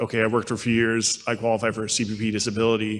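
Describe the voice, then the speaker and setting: This is a man's voice. His pitch is medium. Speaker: street outreach worker. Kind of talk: conference panel talk. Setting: conference panel. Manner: fast.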